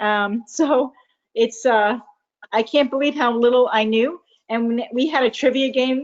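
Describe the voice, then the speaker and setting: An enthusiastic woman's voice, high in pitch. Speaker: team manager hosting meeting. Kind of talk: casual meeting chat. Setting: video call.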